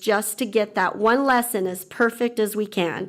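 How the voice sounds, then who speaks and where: Fairly high in pitch, a woman with an American accent speaks with ordinary pitch variation. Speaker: teacher. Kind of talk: public comment at board meeting. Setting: school board meeting. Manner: formal.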